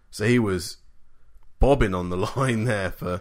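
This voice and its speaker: A man speaks at a fairly slow pace and a medium pitch in a plain, everyday voice, with ordinary pitch variation, in a very clean recording with a silent background. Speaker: podcast host. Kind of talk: casual chat about NFL games. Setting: studio, two hosts side by side.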